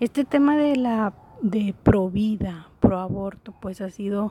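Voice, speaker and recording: This woman's medium-pitched voice is somewhat breathy with a dark, mellow tone, captured with a dry, close sound and no echo. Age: 30s. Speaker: podcast host. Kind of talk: casual monologue. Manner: hesitant, many fillers.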